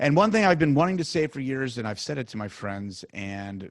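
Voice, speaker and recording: Here a man speaks at a very fast pace in a medium pitch. The recording is very clean with a silent background. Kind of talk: podcast host talk.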